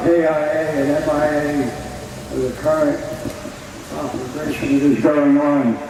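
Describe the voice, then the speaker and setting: A man speaks at a fairly slow pace with noticeable noise behind him. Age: 80s+. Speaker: war veteran. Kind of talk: public speech. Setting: outdoors.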